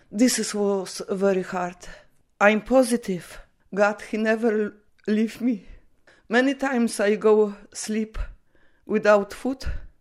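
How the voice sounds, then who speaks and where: A woman's fairly high voice at a very slow pace, with fairly even intonation and long, frequent pauses, in a very clean recording with a silent background. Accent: Polish. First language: Polish. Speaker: Polish immigrant mother. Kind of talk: personal testimony interview. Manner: halting.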